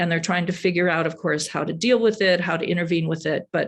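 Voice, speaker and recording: A woman speaks at a fairly quick pace with an American accent. Her pitch is fairly low, and the background is quiet. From US Midwest, Madison, Wisconsin. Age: 60s. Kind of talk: presentation talk. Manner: halting.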